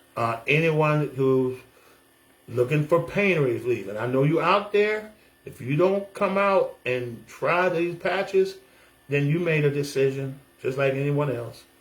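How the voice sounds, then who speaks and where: A man with an American accent speaks in an animated tone. His voice is fairly high and somewhat breathy. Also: lively intonation, fairly slow pace. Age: 60s. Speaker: military veteran and pastor. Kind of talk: casual testimonial video monologue.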